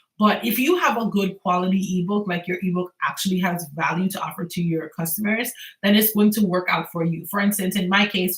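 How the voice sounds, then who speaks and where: A woman's somewhat breathy voice, fairly quick with hardly any pauses and fairly even intonation. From Antigua and Barbuda, Caribbean. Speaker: small business owner and e-commerce creator. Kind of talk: casual livestream chat. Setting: home livestream. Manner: casual, chatty.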